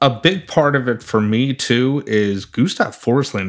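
A man with a plain, everyday voice speaks at a medium pitch with lively intonation. The recording is very clean, with a silent background. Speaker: fantasy hockey podcast co-host. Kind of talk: casual chat.

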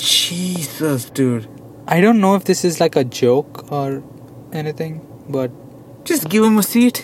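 The speaker goes at a fairly slow pace with lively intonation and long, frequent pauses. Noticeable background noise is present. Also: man, fairly high pitch for a man. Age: 20s. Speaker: podcast co-host. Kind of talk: casual chat. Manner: animated.

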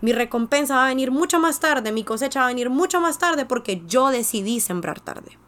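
A woman talks fairly quickly at a high pitch. Her tone is animated and her intonation lively. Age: 20s. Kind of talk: devotional monologue.

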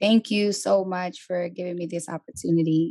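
A woman speaks in a New York accent with ordinary pitch variation. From New York City, the Bronx. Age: 20s. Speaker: coaching client, entrepreneur. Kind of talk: interview, personal testimony. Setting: on camera.

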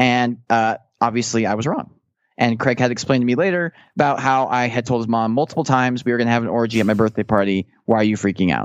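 Here a man speaks at a very fast pace and medium pitch, with ordinary pitch variation. The sound is dry and close with no echo, against a quiet background. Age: 30s. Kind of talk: casual chat.

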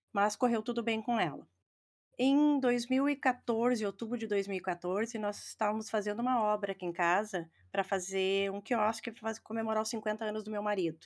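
A woman with a fairly high pitch talks at a moderate pace. Her intonation is fairly even, in a very clean recording with a silent background. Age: 50s. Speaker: football fan and breast cancer survivor. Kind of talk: testimony.

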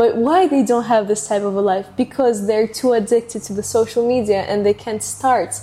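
A woman with a Russian accent, fairly high pitch, a dark, mellow tone, ordinary pitch variation and a moderate pace with hardly any pauses. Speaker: podcast host. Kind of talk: casual interview.

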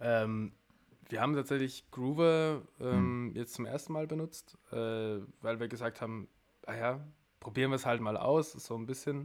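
Long, frequent pauses break up a man's speech at a moderate pace. His medium pitch varies in an ordinary way. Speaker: musician. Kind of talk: casual chat.

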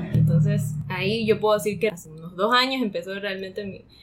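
Music in the background behind a woman speaking at a moderate pace and medium pitch. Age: 20s. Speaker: coffee school intern and co-host. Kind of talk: interview, casual chat.

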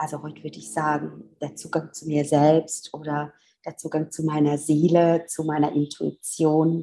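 This woman has a very deep, low pitch and a dark, mellow tone with vocal fry. Her intonation is monotone and flat, and her pace is fairly slow. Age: 50s. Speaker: physiotherapist and spiritual coach. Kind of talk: interview conversation.

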